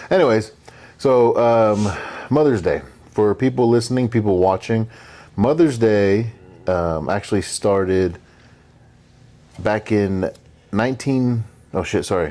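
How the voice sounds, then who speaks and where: A man's fairly low voice at a fairly slow pace, with long, frequent pauses, ordinary pitch variation and very even loudness. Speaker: podcast co-host. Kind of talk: casual chat. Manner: casual, profane, with hesitations.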